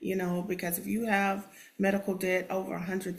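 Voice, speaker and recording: With a Texan accent, a woman speaks at a fairly low pitch and a moderate pace. Her intonation is monotone and flat, and room echo is audible. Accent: Texan American English. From Texas, Houston. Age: 50s. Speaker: special education teacher. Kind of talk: testimony. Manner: hesitant, many fillers.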